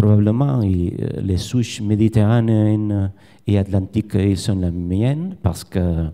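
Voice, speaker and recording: At a very slow pace, a man speaks in a fairly low pitch with a dark, mellow tone and ordinary pitch variation. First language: Spanish or Catalan (speaking French). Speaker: fish biologist, research professor. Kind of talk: conference presentation. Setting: conference with audience. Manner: halting.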